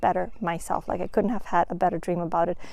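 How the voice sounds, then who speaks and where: Soft-spoken with a dark, mellow tone and ordinary pitch variation, this voice comes through on a very clean recording with a silent background. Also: woman. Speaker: vlogger and new truck driver. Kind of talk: casual vlog. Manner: animated. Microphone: new microphone.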